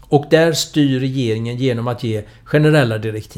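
Using a normal speaking voice, the man talks at medium pitch with ordinary pitch variation and a moderate pace. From Sweden, Gothenburg. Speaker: political scientist and author. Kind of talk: interview.

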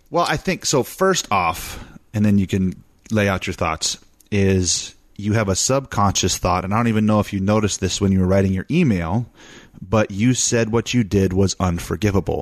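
A man's fairly low voice at a moderate pace, with ordinary pitch variation and very even loudness. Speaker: co-host, host's husband. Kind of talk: casual chat. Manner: animated.

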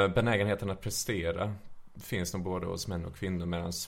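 This man has a very deep, low-pitched voice. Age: 30s. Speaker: trained musician, podcast guest. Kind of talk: casual chat.

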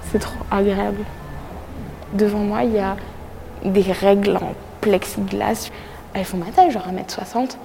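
Very slow speech with long, frequent pauses and fairly even intonation, audible room echo and music in the background. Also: woman, medium pitch for a woman. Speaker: travel vlogger. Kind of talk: casual vlog narration.

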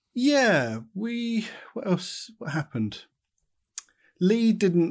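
This man has a southern English accent. His voice moves through very wide pitch swings. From southern England, Watford. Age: 30s. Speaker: artist and former band musician. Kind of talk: casual interview chat. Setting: video call.

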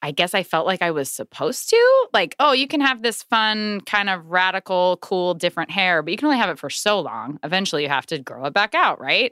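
A woman with an American accent speaks fairly quickly at medium pitch, with very wide pitch swings and hardly any pauses. Her tone is bright and sharp, the sound dry and close with no echo, on a very clean recording with a silent background. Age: 30s. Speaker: podcast guest. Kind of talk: casual chat.

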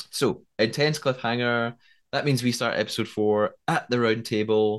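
This man has a normal speaking voice at a medium pitch. The background is quiet. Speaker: podcast host, TV development writer. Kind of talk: casual episode recap and discussion.

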